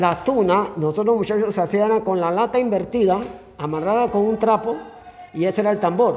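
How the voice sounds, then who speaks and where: A man's high voice at a fairly quick pace, very even in loudness, over music in the background. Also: ordinary pitch variation. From Panama, Antón (Coclé). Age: 70s. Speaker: local historian. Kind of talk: interview. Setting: cultural center museum. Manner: casual storytelling.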